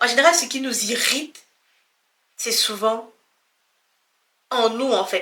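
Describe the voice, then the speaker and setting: A woman's high-pitched voice with a bright, sharp tone at a very slow pace. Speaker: personal development vlogger. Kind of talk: casual motivational talk to camera.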